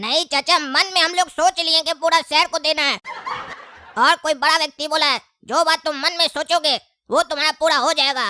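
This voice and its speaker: The speaker uses a cartoonish character voice at a high pitch. The pace is fairly quick. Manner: cheeky, talkative.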